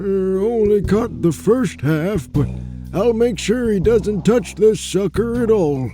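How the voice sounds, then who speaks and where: A man puts on a character voice with a high pitch. He speaks fairly slowly over clear music in the background. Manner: brash, mocking.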